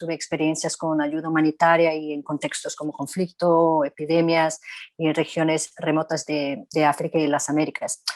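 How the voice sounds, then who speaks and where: With a very deep, low pitch and monotone, flat intonation, a woman talks at a moderate pace with hardly any pauses, the sound dry and close with no echo on a very clean recording with a silent background. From Brazil. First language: Portuguese (speaking Spanish). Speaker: physician, global health specialist. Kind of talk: panel discussion.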